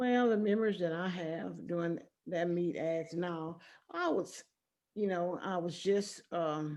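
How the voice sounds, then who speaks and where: A woman with a fairly low pitch and an American accent talks at a fairly slow pace in a normal speaking voice, her intonation fairly even. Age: 60s. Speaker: retired teacher and former track athlete. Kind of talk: interview.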